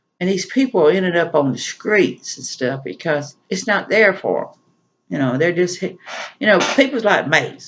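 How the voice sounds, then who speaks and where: This man has a Southern accent and a high pitch. He talks at a moderate pace with lively intonation. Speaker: prepper vlogger. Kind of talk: solo vlog monologue. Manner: casual, conversational.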